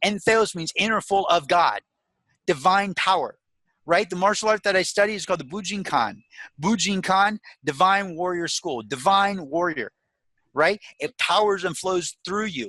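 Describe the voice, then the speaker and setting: In a very clean recording with a silent background and a dry, close sound with no echo, a man with a high pitch projects a raised, animated, enthusiastic voice in a bright, sharp tone, at a moderate pace with ordinary pitch variation. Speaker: motivational speaker and life coach. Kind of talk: podcast interview. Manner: enthusiastic and emphatic.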